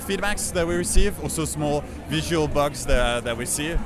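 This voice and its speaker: Music plays in the background while a man speaks at a moderate pace. Audible room echo surrounds his voice. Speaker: game developer. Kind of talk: interview. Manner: halting, many filler uhs.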